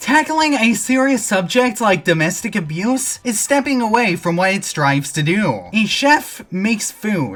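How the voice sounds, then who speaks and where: A woman's somewhat breathy, fairly high voice with very wide pitch swings and hardly any pauses. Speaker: commentary YouTuber. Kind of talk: scripted video commentary.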